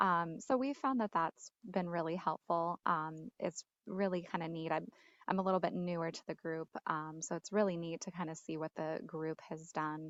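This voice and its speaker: The voice is soft-spoken, with fairly even intonation at a moderate pace. The sound is dry and close, with no echo. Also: woman. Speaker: state education staff member. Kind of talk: online work meeting. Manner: hesitant, many fillers.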